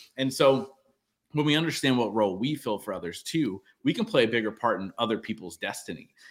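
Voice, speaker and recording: The recording is very clean, with a silent background. A man with an unremarkable speaking voice talks at a fairly quick pace and medium pitch, with lively intonation. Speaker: entrepreneur and podcast host. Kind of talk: interview, conversational.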